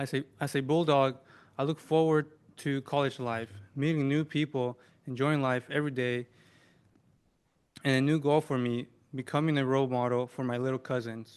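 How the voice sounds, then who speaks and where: A man with a non-native accent speaks at a moderate pace and medium pitch, in monotone, flat intonation. He leaves long, frequent pauses against a quiet background. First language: not English. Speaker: student veteran. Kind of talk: prepared speech. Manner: halting.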